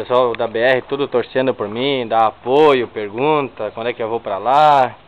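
A man speaks in an unremarkable speaking voice at a medium pitch. His pace is fairly slow, his intonation fairly even, with hardly any pauses. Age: 20s. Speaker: car owner making a video application. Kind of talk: casual video walkthrough.

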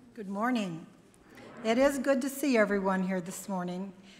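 At a moderate pace, a woman is talking. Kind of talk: church announcements. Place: church. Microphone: podium.

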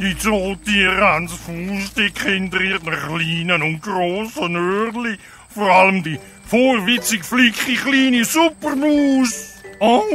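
A put-on character voice from a man, pitched high, with clear music in the background. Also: fairly slow pace. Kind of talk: children's audio drama. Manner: greedy, gloating, theatrical.

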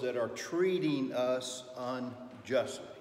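Male speech in a room with audible echo, plus light background noise. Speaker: Sunday school teacher. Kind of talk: lecture. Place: classroom. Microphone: camera far.

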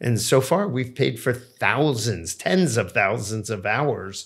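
This man speaks at a fairly slow pace with an American accent, his voice somewhat breathy. His intonation is lively, and the background is quiet. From New Jersey. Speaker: entrepreneur and debt and credit expert; podcast guest. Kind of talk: interview conversation. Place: office. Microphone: studio mic.

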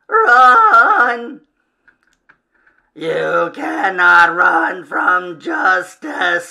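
A put-on character voice rasps along at a very slow pace. Long pauses come often. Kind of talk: comic reading of horror villain. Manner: cold, menacing, pronouncing sentence.

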